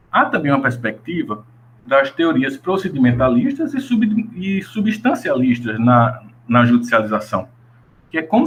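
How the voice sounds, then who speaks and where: A man speaks at a moderate pace with very wide pitch swings. His voice sounds somewhat breathy. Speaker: law researcher and graduate student presenting research. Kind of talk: academic presentation. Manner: halting, with self-corrections.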